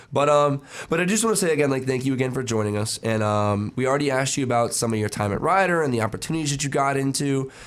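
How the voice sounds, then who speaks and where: A man's medium-pitched voice at a very fast pace with hardly any pauses, lively intonation and noticeable background noise. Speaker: student radio co-host. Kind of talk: casual interview.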